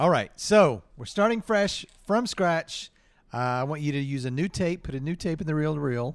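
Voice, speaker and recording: In a normal speaking voice with an American accent, a man with a fairly high pitch talks at a moderate pace with lively intonation on a very clean recording with a silent background. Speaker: improv comedian and podcast host. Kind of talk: improvised comedy. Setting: stage with audience.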